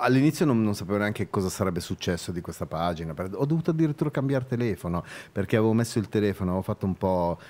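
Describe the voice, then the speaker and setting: Here a man talks at a very fast pace with a fairly low pitch. His voice moves in very wide pitch swings. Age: 50s. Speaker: journalist and photographer; journalist. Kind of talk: casual interview chat. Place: studio. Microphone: studio mic.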